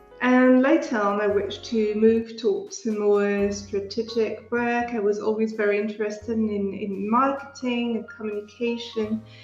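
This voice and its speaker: Monotone, flat intonation comes in a French accent, with noticeable background noise and audible room echo. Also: woman, fairly high pitch for a woman, moderate pace, hardly any pauses. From France. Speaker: UX researcher. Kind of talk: podcast interview.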